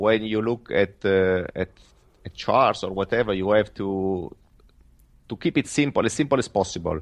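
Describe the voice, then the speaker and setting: With an Italian accent, a man talks at a fairly low pitch and moderate pace with ordinary pitch variation, in a dry, close sound with no echo. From Italy. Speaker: professional trader. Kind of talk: interview. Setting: remote call. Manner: halting.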